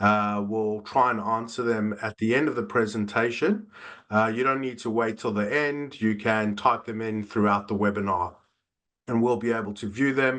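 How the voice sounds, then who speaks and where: A man with a South African accent speaks at a medium pitch and a moderate pace, with fairly even intonation. The background is quiet. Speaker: business development manager. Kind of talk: webinar presentation. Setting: online webinar. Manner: frequent filler 'uh'.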